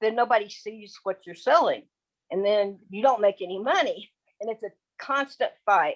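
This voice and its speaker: A woman with an American accent speaks at a moderate pace in a fairly high pitch, with ordinary pitch variation, big swings in loudness, and an unremarkable speaking voice. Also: dry, close sound with no echo. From Texas. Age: 60s. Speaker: affiliate marketer. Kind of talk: casual presentation on video call. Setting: video call.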